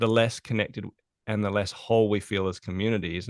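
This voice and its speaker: A man with an Australian accent at a very fast pace, fairly low in pitch, fairly even in intonation, with dry, close sound, no echo, and a quiet background. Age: 40s. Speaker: productivity consultant. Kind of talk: podcast interview.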